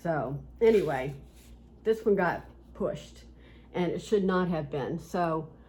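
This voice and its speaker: Speaking very slowly with long, frequent pauses, a woman with an Appalachian accent uses a fairly low pitch, ordinary pitch variation and vocal fry, and the room echo is audible. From West Virginia. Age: 60s. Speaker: cross-stitch video host. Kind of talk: casual chat.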